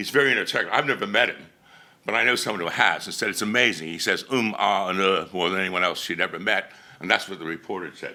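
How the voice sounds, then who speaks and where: This man is loud. He speaks at a very fast pace. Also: ordinary pitch variation. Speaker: conference speaker. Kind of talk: conference presentation.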